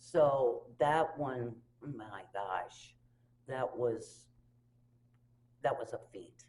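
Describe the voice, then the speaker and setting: Speaking very slowly with long, frequent pauses, a woman has a very deep, low pitch, a somewhat breathy quality, ordinary pitch variation and big swings in loudness. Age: 60s. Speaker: community theatre director. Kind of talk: casual interview.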